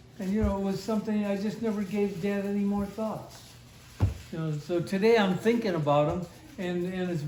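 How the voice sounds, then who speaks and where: Audible room echo surrounds a man speaking in an American accent. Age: 80s. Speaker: elderly father sharing family memories. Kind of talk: family reminiscence interview. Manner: halting.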